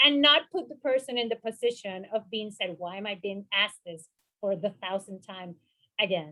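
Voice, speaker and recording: A woman's raised, projected voice with a bright, sharp tone at a moderate pace. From Puerto Rico. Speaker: mental health professional, panelist. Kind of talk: panel discussion.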